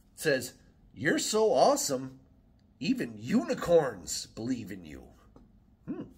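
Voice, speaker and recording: This is a man speaking. He goes at a fairly slow pace. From Wisconsin. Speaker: YouTuber; vlogger. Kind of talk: casual vlog monologue. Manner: rambling with many fillers. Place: home room. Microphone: phone near.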